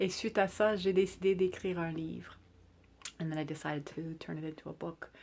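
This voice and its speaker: A woman speaks with fairly even intonation. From Quebec (Mont-Saint-Hilaire), English-speaking. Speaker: artist and children's book author. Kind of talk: bilingual book introduction. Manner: hesitant, with fillers.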